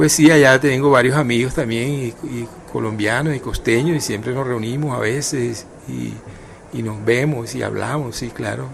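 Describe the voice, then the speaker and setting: A man at a moderate pace with fairly even intonation, plus noticeable background noise and audible room echo. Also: medium pitch for a man. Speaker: writer and journalist. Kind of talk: radio interview. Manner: hesitant, many fillers and repetitions; tries to pronounce carefully, not clipped.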